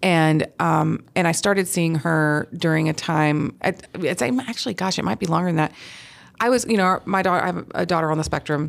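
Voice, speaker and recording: A woman with an American accent speaks in a plain, everyday voice. Her pitch is fairly low with ordinary variation, at a moderate pace. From US South, Huntsville, Alabama. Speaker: portrait photographer. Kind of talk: interview.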